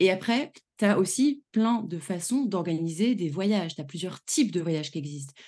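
A woman's medium-pitched voice with a dark, mellow tone and lively intonation at a moderate pace, against a quiet background. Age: 30s. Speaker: travel planner and trainer. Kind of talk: casual interview chat.

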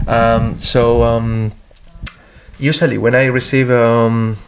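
A man's medium-pitched voice with a Spanish accent. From Spain. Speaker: comic book artist. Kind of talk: interview. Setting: comics festival. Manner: halting.

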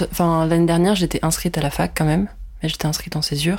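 On a very clean recording with a silent background, a woman speaks in a flat monotone. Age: 20s. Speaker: art student. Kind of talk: casual chat.

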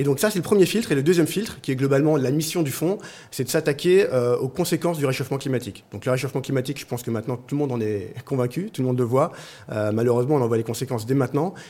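The voice is dark and mellow with lively intonation. It moves at a very fast pace. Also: man, fairly high pitch for a man. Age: 40s. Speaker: venture capital investor and fund co-founder. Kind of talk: interview.

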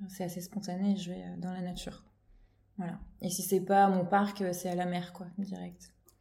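A woman speaks at a fairly slow pace in a medium pitch, her dark, mellow tone somewhat breathy and her intonation monotone and flat, with audible room echo. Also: big swings in loudness. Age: 30s. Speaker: children's creative drawing teacher. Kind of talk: casual chat. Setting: at the host's home. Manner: halting.

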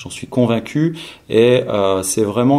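This man's pitch sits at medium and varies in an ordinary way. He talks very slowly. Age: 40s. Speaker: training company founder. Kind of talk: interview. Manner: halting, many hesitations.

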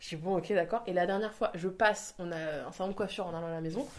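An animated tone comes with ordinary pitch variation. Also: woman. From Spain. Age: 20s. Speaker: Instagram content creator. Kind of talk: casual interview.

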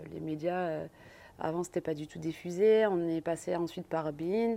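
A woman talks at a moderate pace. Her fairly low voice has a dark, mellow tone. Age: 30s. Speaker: professional handball player. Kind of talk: interview.

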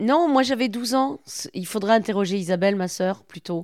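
A woman's medium-pitched voice, moving at a moderate pace with ordinary pitch variation, comes across on a very clean recording with a silent background. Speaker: company director. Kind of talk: interview conversation.

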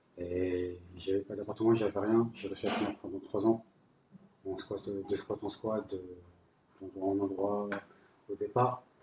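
A man's monotone, flat delivery at a fairly slow pace, broken by long, frequent pauses. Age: 30s. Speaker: homeless person sharing his story. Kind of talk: personal testimony.

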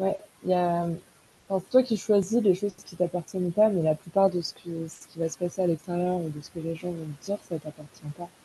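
A woman talks at a fairly quick pace in a fairly low, dark, mellow, somewhat breathy voice. Her intonation stays fairly even while her loudness swings widely. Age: 20s. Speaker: podcast listener. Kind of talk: casual chat.

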